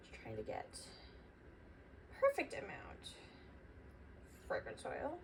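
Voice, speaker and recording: A woman is heard over noticeable background noise. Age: young, 18. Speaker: small business owner, candle maker. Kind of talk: casual tutorial vlog. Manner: quiet while concentrating.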